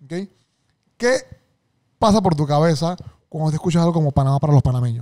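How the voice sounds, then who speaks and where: A fairly high-pitched man with a dark, mellow tone and lively intonation, in a quiet background. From Panama. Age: 30s. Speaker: podcast host. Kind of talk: casual interview chat. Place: studio. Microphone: studio mic.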